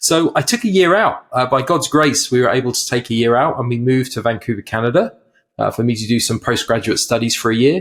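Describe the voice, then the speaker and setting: A man with an English accent talks at a very fast pace, his medium pitch showing ordinary variation. The recording is very clean, with a silent background. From England. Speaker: mental health ministry leader, former pastor. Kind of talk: podcast interview.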